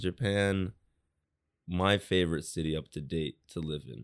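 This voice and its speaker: In a very clean recording with a silent background and a dry, close sound with no echo, a man with a New York accent talks in a very deep, low pitch with ordinary pitch variation. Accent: New York American. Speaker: designer. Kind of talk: casual chat.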